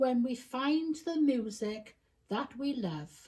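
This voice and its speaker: A woman puts on a character voice, pitched high and delivered at a very slow pace. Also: lively intonation. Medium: read story.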